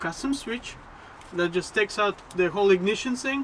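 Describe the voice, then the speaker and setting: Noticeable background noise under speech delivered at a fairly slow pace. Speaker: car hobbyist vlogger. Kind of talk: casual DIY video narration.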